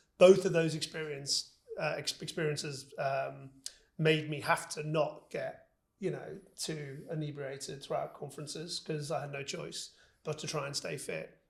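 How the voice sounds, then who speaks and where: Speaking with vocal fry, a man with a fairly high pitch keeps a monotone, flat intonation. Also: moderate pace. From northern England, Liverpool. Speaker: business executive. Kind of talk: interview. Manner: hesitant, repeats words.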